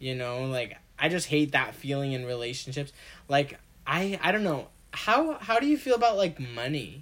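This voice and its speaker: With an animated tone and lively intonation, a man talks at a moderate pace in a fairly high voice. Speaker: podcast co-host. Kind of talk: casual chat. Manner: animated, talkative.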